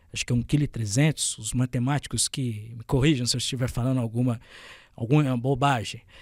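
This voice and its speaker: A somewhat breathy voice at a fairly quick pace, with a dry, close sound with no echo on a very clean recording with a silent background. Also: man, medium pitch for a man, fairly even intonation. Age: 20s. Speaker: journalist. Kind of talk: podcast interview. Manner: hesitant, with fillers and stumbles.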